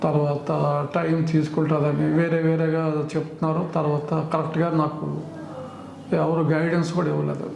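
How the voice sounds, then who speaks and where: Amid noticeable background noise and audible room echo, a man speaks at a fairly high pitch with monotone, flat intonation and very even loudness. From Andhra Pradesh, Vizag. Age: 70s. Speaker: patient. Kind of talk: testimony.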